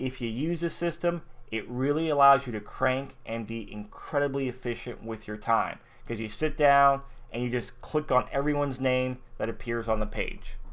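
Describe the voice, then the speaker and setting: A man with an unremarkable speaking voice talks at a moderate pace. His pitch is medium, with ordinary pitch variation. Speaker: network marketing software trainer. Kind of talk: screen-share tutorial.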